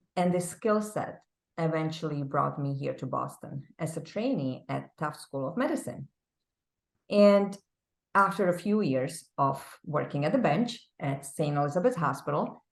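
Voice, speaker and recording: Against a quiet background, a woman with a Czech accent speaks at a moderate pace, her very deep, low pitch paired with lively intonation. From Czech Republic. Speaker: business executive. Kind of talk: interview.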